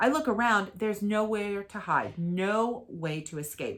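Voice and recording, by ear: The speaker is reading aloud in a natural voice, and the pitch shifts in an ordinary way.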